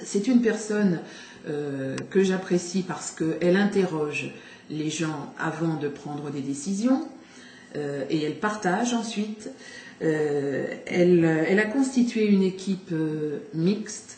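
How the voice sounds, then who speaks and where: A woman speaks at a very slow pace with lively intonation and a fairly low pitch, with audible room echo and noticeable background noise. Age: 60s. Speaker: local election candidate. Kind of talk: campaign statement. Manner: halting, many hesitations.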